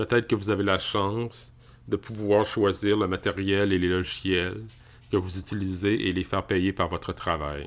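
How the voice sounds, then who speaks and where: A man speaks at a moderate pace in a normal speaking voice, his fairly low pitch carried on fairly even intonation. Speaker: tech YouTuber. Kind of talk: casual tech review. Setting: home office.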